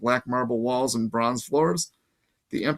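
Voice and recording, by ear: With a quiet background, a person reads aloud in a natural voice.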